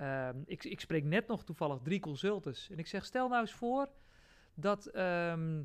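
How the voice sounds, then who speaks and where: A man speaks at a fairly slow pace. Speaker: company CEO. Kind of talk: interview. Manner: loud.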